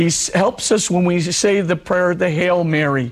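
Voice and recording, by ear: A man with a husky, high-pitched voice speaks at a fairly slow pace. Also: ordinary pitch variation.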